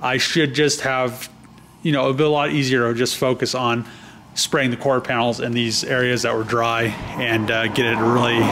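Light background noise accompanies a man speaking at a moderate pace. His pitch varies in an ordinary way. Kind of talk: casual vlog chat. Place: garage. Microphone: phone near.

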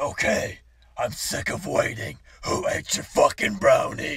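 Speaking at a fairly slow pace, a man puts on a raspy character voice. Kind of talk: acted comedy dialogue. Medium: comedy sketch. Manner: grumpy, crude. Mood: impatient.

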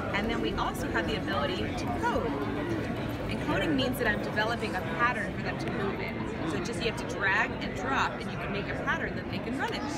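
A woman at a very fast pace, with crowd noise in the background. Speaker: presenter. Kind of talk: product demonstration. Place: hall. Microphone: phone near.

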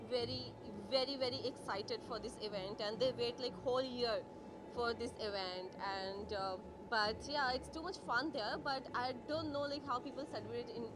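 A woman talks at a moderate pace, her pitch varying in an ordinary way, with noticeable background noise present. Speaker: guest. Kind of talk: interview answer. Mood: excited, cheerful. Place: hall. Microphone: handheld.

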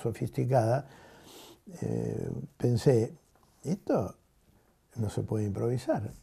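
A man talks at a very slow pace in a dark, mellow tone, somewhat breathy, with ordinary pitch variation. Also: quiet background. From Argentina. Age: 80s+. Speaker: teacher. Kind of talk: interview. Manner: halting. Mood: reflective, critical. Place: home room.

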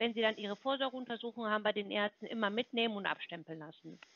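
Speaking at a very fast pace in a confident tone, a woman uses ordinary pitch variation, with a dry sound and no echo. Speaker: health insurance sales caller; caller. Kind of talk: phone sales pitch. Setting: phone call. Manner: confident, fluent. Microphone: phone line.

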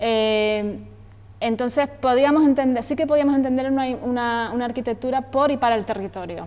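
The woman speaks at a high pitch and a moderate pace. Her pitch variation is ordinary. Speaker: event moderator. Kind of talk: event introduction. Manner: halting, filler-heavy. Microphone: lapel.

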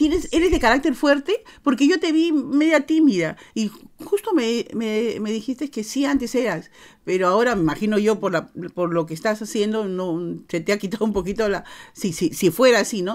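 Pitched fairly high, a woman's voice makes very wide pitch swings. She keeps a moderate pace against a quiet background. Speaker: interviewer host. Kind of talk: casual interview chat. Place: home room.

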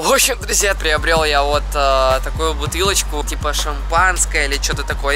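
A man at a moderate pace, dry sound with no echo, and clear music in the background. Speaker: vlogger. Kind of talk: casual vlog chat. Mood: playful, scheming a prank. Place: street. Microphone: phone near.

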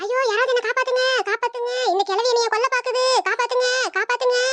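In a squeaky, put-on character voice, a woman shouts at an extremely high pitch and a fairly quick pace, her loudness very even and her intonation monotone and flat. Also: dry, close sound with no echo. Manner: screaming, pleading for help.

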